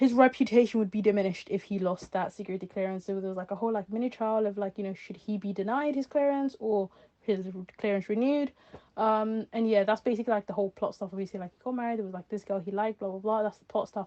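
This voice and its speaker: Very fast and with fairly even intonation, a woman speaks in a fairly high voice with a dark, mellow tone, the sound dry and close with no echo. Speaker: vlogger. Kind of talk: casual monologue. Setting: voice note. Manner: hesitant, many fillers.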